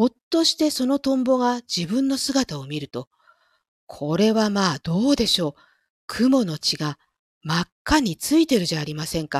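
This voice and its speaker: A loud woman's voice, fairly high in pitch with very wide pitch swings, at a moderate pace, in a very clean recording with a silent background and a dry, close sound with no echo. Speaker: audio streamer who reads stories aloud. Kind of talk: reading aloud; casual chat. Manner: louder in dialogue lines.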